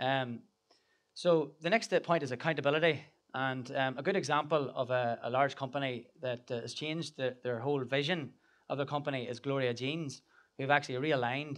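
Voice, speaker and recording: In an Irish accent, a man with a fairly high pitch speaks at a moderate pace with fairly even intonation. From Ireland. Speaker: business founder and speaker. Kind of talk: conference talk. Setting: stage with audience. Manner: hesitant, many fillers and repeats.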